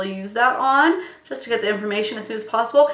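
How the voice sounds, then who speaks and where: A woman is speaking. Room echo is audible, and background noise is noticeable. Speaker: beauty youtuber. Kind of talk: casual chat. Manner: animated.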